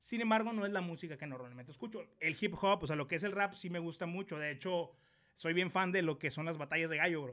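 A man with a northern Mexican accent talks at a very fast pace in a high voice with ordinary pitch variation. His tone is bright, sharp and animated. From Mexico, Ciudad Obregón, Sonora. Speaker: YouTuber, live stream host. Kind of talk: casual live-stream interview. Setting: live stream.

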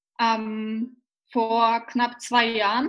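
This is a woman speaking at a high pitch. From Austria, Vienna. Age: 20s. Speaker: personal development trainer. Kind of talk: casual interview.

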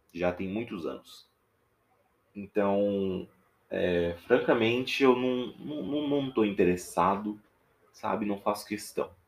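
In a Minas Gerais accent, a man with a fairly low pitch speaks at a very slow pace, leaving long, frequent pauses. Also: ordinary pitch variation. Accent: mineiro (Minas Gerais). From Minas Gerais interior, Brazil. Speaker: podcaster. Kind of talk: casual monologue. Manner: hesitant, with fillers.

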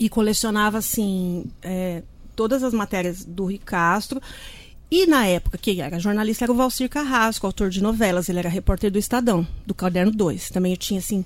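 Medium-pitched female speech at a fairly quick speed, its pitch varying in an ordinary way. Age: 50s. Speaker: journalist and author. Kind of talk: casual chat. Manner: fast.

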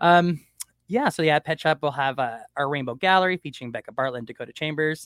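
A very fast, animated, enthusiastic man's voice, fairly high in pitch, with ordinary pitch variation. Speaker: artist and community arts advocate. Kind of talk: casual chat.

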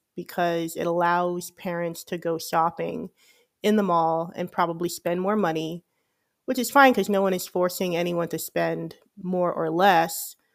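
In an American accent, a woman with an unremarkable speaking voice talks fairly slowly at a fairly low pitch with ordinary pitch variation, on a very clean recording with a silent background. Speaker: podcast host. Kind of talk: casual monologue.

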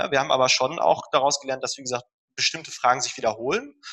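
Bright, sharp tone from a man, pitched fairly high. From Ruhr area, Germany (Dortmund). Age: 30s. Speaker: dentist and health startup founder. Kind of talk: interview. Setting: remote call.

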